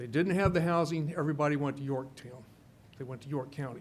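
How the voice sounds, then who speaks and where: The speaker is a man with a fairly high pitch. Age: 60s. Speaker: public commenter at county meeting. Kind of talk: public comment speech. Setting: public meeting. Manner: halting, many fillers.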